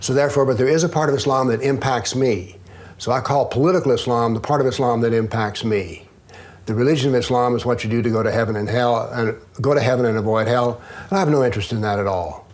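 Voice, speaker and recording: In a Southern US accent, a man talks at a very fast pace and medium pitch with very even loudness, amid audible room echo. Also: ordinary pitch variation. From US South. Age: 70s. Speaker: author and former professor. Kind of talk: interview.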